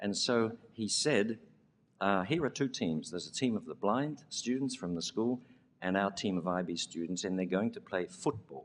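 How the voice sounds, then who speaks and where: A man with a fairly low voice speaks at a moderate speed. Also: lively intonation. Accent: Australian. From Australia. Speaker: education leader receiving award. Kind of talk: award acceptance speech with storytelling.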